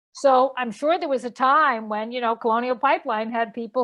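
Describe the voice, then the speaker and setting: A woman talks with a Boston accent. Her pitch is high and her intonation fairly even. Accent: Boston-area. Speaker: energy policy expert and professor. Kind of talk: webcast panel discussion. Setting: webcast.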